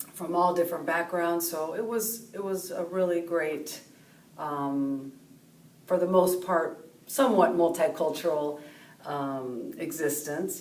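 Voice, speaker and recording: A woman at a fairly slow pace, fairly low in pitch, with ordinary pitch variation and audible room echo. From California, Mexican-American. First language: Spanish. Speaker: professor. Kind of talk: personal interview monologue. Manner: hesitant, many fillers.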